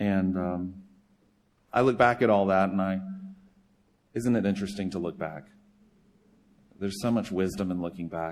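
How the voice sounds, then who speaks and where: The speaker has a slight Southern US accent and a moderate pace. Pitch varies in an ordinary way. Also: man. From US South, South Carolina. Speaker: charity director and former pastor. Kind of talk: sermon. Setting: church.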